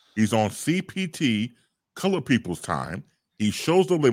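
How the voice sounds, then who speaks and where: In a very clean recording with a silent background and a dry, close sound with no echo, a man at medium pitch talks at a moderate pace with vocal fry and very wide pitch swings. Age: 50s. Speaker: broadcaster. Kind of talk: casual chat.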